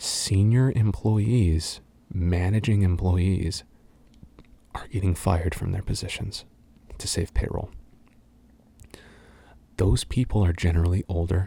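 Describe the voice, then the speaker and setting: Somewhat breathy and dark, mellow in tone, a man with a very deep, low pitch talks at a fairly slow pace with long, frequent pauses. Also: ordinary pitch variation. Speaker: ASMR voice actor. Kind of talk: casual talk to camera, Q&A answers. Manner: animated, opinionated, rant-like.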